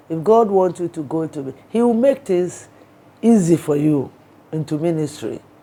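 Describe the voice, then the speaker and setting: A woman with a fairly low pitch speaks at a moderate pace in a plain, everyday voice, her intonation lively. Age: 60s. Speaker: archbishop. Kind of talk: interview.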